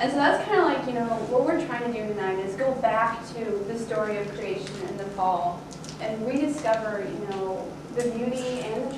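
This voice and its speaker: Audible room echo and noticeable background noise accompany a woman speaking. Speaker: speaker. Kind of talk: sermon-like talk. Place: church.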